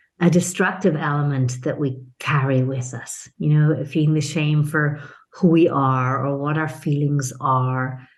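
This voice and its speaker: In a room with audible echo, a woman with a very deep, low pitch talks at a fairly slow pace with fairly even intonation and hardly any pauses. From Italian-Irish international upbringing. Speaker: business consultant and mentor. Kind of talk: podcast interview.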